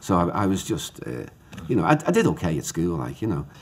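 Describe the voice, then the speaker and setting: A man with a Liverpool accent speaks at a moderate pace. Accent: Liverpool (Scouse). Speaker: playwright. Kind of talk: interview. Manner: halting, repetitive.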